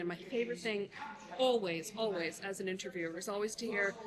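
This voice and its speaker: Against noticeable background noise, a woman with an American accent talks at a very fast pace and a fairly high pitch. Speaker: brand consultant and podcast host. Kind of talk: casual interview at a conference. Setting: live event floor at a conference. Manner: animated.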